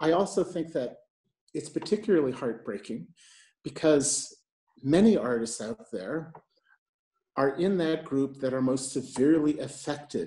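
A fairly high-pitched man with an American accent, a dark, mellow tone and a fairly slow pace, in a quiet background with audible room echo. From New York. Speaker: moderator, arts and health lead at a health agency. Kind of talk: moderated panel discussion. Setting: video call from home. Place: home room. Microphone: earbuds.

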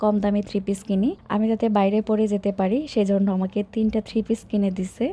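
A woman's fairly high-pitched voice carries a dark, mellow tone and is somewhat breathy. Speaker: lifestyle vlogger. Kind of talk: vlog narration.

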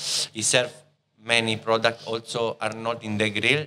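A voice with an Italian accent comes through over light background noise. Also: man. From Italy, Rome. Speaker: chef. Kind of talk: casual chat. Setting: restaurant. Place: cafe. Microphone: studio mic.

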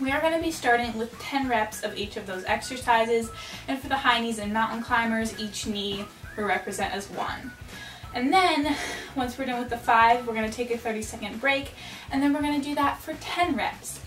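Clear music plays in the background as a woman speaks amid audible room echo. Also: ordinary pitch variation, moderate pace. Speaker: fitness vlogger. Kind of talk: casual vlog chat explaining a workout. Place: home room. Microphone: camera far.

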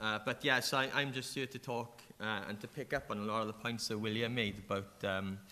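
In a strong Welsh accent, a man talks at a moderate pace with a bright, sharp tone and fairly even intonation. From South Wales Valleys, Merthyr Tydfil; South Wales. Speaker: animator and game developer; panelist. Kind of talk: panel discussion. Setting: stage with audience. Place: hall. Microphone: podium.

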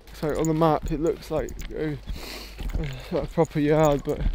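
A man is speaking, with a dry sound and no echo. There is noticeable background noise. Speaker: travel vlogger. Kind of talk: casual vlog chat. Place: station. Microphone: phone near.

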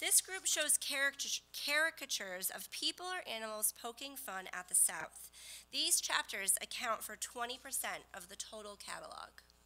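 A high-pitched woman with very wide pitch swings at a fairly slow pace, music in the background. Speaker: co-presenter. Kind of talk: presentation. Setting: stage with audience. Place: hall.

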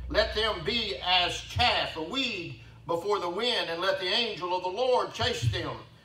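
Projecting a raised voice into audible room echo, a man speaks fairly slowly in a high voice with ordinary pitch variation. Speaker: pastor. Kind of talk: sermon. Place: church. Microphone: camera far.

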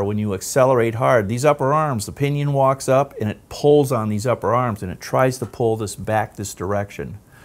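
This man talks at a moderate speed. The variation in his pitch is ordinary. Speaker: presenter. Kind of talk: product demonstration tutorial. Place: studio.

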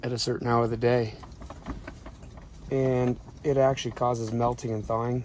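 The speech moves at a fairly quick pace, dry with no echo and with light background noise. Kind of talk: casual vlog chat. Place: tent. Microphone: phone near.

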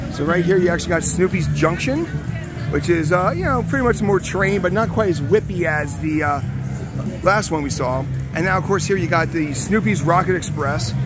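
Male speech at a fairly quick pace with ordinary pitch variation, dry with no echo, music playing in the background. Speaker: amusement park vlogger. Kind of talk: casual vlog tour commentary. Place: street. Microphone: phone near.

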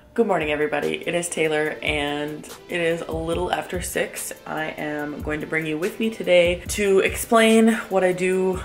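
A fairly low-pitched woman at a moderate pace with hardly any pauses, ordinary pitch variation and faint background music. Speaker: small business owner vlogger. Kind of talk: casual vlog chat. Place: kitchen. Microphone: phone near.

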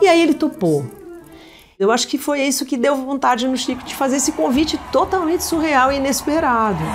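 With music playing in the background, a woman speaks at a high pitch with ordinary pitch variation. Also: fairly quick pace. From São Paulo. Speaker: singer. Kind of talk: interview answer. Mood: warm, reflective.

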